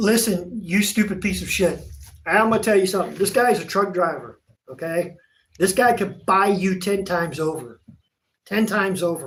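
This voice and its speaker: A man with a Southern US accent speaks in a high pitch at a moderate pace. His tone is animated, with ordinary pitch variation. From Virginia, US. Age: 50s. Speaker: auto painter, shop owner. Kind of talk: livestream chat. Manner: animated, loud.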